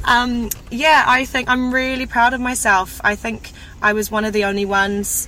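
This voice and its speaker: A woman with a New Zealand accent speaks at a fairly slow pace in a bright, sharp tone with ordinary pitch variation. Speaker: broadcaster, media personality. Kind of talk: casual chat.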